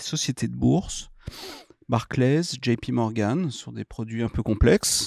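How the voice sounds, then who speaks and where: A man talks at a very slow pace. The sound is dry with no echo against a quiet background. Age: 50s. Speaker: entrepreneur; guest. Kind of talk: interview. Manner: hesitant, many fillers. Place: studio. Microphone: studio mic.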